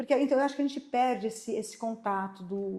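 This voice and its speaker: A woman talks fairly quickly in an ordinary speaking voice, her pitch varying in an ordinary way. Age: 60s. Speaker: podcast host. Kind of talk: podcast interview chat.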